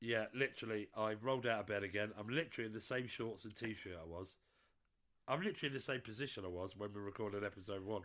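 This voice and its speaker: A very fast-talking man with a British accent, fairly low pitch and ordinary pitch variation. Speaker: podcast co-host. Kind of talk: casual chat.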